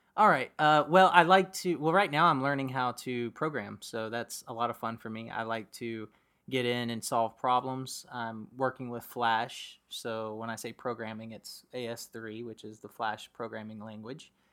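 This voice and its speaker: A man with a bright, sharp tone speaks with hardly any pauses, big swings in loudness and ordinary pitch variation. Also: medium pitch for a man, moderate pace, very clean recording, silent background. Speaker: guest, host's husband. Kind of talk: casual interview.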